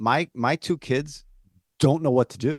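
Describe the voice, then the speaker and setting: A man talks with lively intonation. The background is quiet, and the sound is dry and close with no echo. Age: 50s. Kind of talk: casual chat. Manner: animated.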